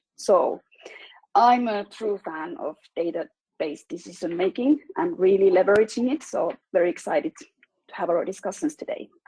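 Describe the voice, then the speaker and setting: With a Finnish accent, a woman speaks at a moderate pace and medium pitch, her dark, mellow tone swinging very widely in pitch, the sound dry and close with no echo. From Finland. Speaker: data analytics specialist. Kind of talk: business webinar presentation.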